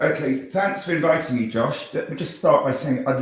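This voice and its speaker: Somewhat breathy and with lively intonation, the voice keeps a moderate pace amid audible room echo. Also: man. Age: 60s. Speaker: social entrepreneur, former company CEO. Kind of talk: interview conversation. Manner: halting, many fillers and repetitions.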